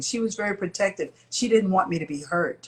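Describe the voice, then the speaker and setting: The speaker has an American accent. The voice is somewhat breathy. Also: woman. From Chicago, US Midwest. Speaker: singer. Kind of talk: interview.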